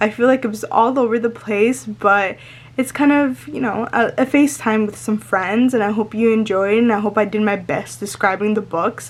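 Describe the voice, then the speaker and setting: A woman speaks in a fairly high voice with ordinary pitch variation. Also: moderate pace. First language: Spanish. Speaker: lifestyle vlogger. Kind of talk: casual chat to camera. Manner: excited, sometimes not fully pronouncing words; halting with fillers.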